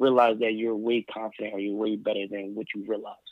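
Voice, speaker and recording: With an American accent, a man is talking. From US Northeast, Philadelphia. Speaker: educator and mentor. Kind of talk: interview conversation. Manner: fast talker.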